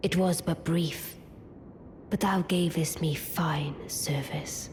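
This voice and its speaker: The speaker puts on a character voice at a middle pitch and a very slow pace. Background noise is clearly heard. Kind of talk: archaic formal speech. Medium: video game. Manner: aloof, cool, regal.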